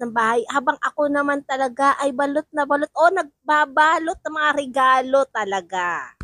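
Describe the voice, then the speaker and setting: On a very clean recording with a silent background, a woman speaks at a moderate pace in a high pitch with lively intonation. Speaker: vlogger. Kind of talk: casual vlog talk. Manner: repetitive, chatty.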